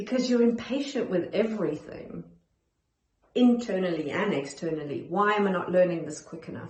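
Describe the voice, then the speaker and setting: Through audible room echo, a woman at a medium pitch talks in a somewhat breathy voice with lively intonation and big swings in loudness. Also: moderate pace. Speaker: perfectionism coach. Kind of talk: self-help talk to camera. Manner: calm, centered.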